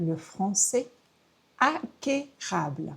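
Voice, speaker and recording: Somewhat breathy, a woman speaks at a very slow pace. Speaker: French teacher. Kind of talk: tutorial.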